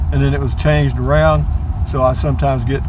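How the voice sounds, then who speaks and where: A man talks at a moderate pace with a very deep, low pitch and fairly even intonation. The sound is dry with no echo, though noticeable background noise comes through. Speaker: driver vlogger. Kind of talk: casual vlog chat. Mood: relaxed, reflective. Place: car. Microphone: phone near.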